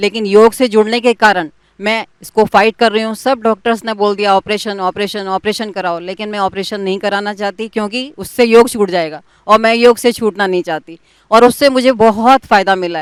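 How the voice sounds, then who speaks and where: With a dry, close sound and no echo, a woman has an ordinary speaking voice, a fairly high pitch and fairly even intonation. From Delhi, India. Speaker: yoga teacher, testimonial speaker. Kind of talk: testimony.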